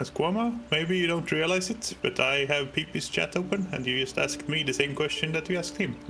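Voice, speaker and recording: A man with a non-native accent, fairly high-pitched and fairly quick with hardly any pauses and ordinary pitch variation, with music in the background. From Sweden. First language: not English. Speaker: gaming streamer. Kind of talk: casual chat. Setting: live stream.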